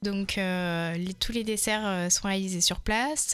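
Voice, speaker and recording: In a very clean recording with a silent background, a woman talks at a very slow pace with fairly even intonation. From Touraine, France. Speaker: head chef of a community restaurant. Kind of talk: radio interview.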